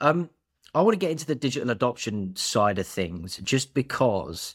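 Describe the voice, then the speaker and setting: A man with an unremarkable speaking voice and lively intonation is heard on a very clean recording with a silent background. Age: 20s. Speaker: podcast host, payments company manager. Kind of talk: casual interview.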